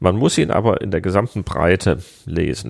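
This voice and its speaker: A man's very deep, low voice moves at a moderate pace, its pitch varying in an ordinary way. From Hesse, Germany. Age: 40s. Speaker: director of a political education agency. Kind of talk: interview. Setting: office.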